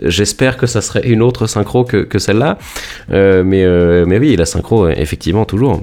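Music plays behind a man speaking at a moderate pace, his fairly low pitch varying in an ordinary way. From France, Rouen (Normandy). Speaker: electronic music producer. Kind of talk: interview. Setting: internet call from home. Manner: halting, many repetitions and fillers.

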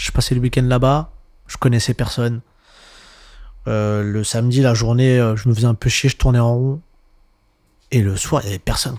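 Over a silent background in a very clean recording, a man with a medium pitch talks at a moderate pace with fairly even intonation and long, frequent pauses. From Montreuil, Paris suburbs, France. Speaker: DJ. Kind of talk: casual interview chat. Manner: halting, many fillers.

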